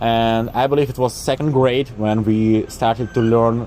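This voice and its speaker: The voice has a dark, mellow tone and a Russian accent. It moves at a moderate pace with fairly even intonation. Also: man. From eastern Ukraine. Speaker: vlogger. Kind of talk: casual explainer monologue. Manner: hesitant, with fillers.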